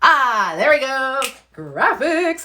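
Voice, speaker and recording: The speaker is a woman. She sounds animated. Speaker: public speaking coach. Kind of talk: live online workshop. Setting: Instagram live stream. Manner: loud, animated.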